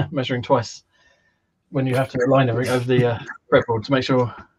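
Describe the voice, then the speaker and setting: Over light background noise, a man with a British accent speaks at a very fast pace, sounding somewhat breathy. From UK. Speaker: guitar maker. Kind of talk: casual chat. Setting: video call. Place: home room. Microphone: video call.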